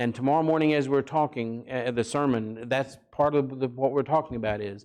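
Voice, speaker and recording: An unremarkable speaking voice with ordinary pitch variation moves at a moderate pace over a quiet background. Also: man. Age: 60s. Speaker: parenting seminar speaker, counselor. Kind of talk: seminar talk. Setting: church.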